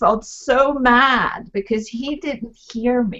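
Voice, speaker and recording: A woman talks in a Swedish accent with ordinary pitch variation. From Sweden. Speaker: talk show host and author. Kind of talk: panel discussion on video call.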